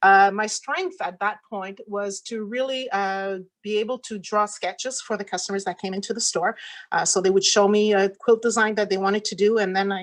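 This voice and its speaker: On a very clean recording with a silent background, a woman with a French accent speaks at a moderate pace, medium in pitch, in a monotone, flat intonation. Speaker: quilt shop owner and pattern designer. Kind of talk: talk to a virtual conference audience. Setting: virtual conference. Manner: halting, many fillers.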